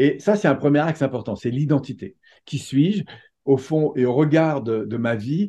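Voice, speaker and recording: A man's fairly high, somewhat breathy, dark and mellow voice at a moderate pace, with ordinary pitch variation and a quiet background. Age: 50s. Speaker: personal development coach and trainer. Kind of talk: interview.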